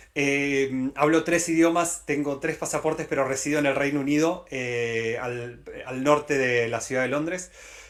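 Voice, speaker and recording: A man speaks with a fairly high pitch and fairly even intonation. He talks at a fairly slow pace with hardly any pauses. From Latin America. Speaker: tech company director. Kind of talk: conference talk. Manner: hesitant with many fillers.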